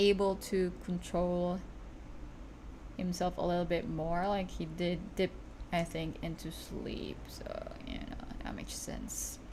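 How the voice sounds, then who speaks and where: A woman with a non-native accent speaks at a very slow pace, with audible room echo. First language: not English. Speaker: streamer and digital artist. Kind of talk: casual livestream chat while drawing. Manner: halting, self-correcting.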